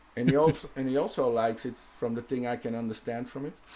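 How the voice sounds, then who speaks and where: The speaker is a man with a Dutch accent. He talks at a fairly quick pace. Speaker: vape reviewer and show host. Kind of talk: casual chat on live show. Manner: halting, with false starts.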